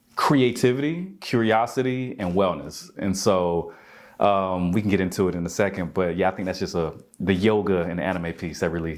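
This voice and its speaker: A man with an American accent speaks at a moderate pace, his pitch very deep and low, with ordinary pitch variation. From US South, Albany, Georgia. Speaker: yoga instructor and wellness coach. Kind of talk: interview.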